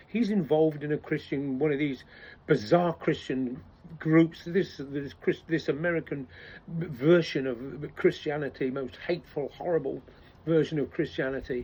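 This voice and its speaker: A man with an English accent speaks at a moderate pace in a fairly high pitch, his dark, mellow tone carrying ordinary pitch variation. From England. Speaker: political commentator. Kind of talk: casual monologue. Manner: halting, many false starts.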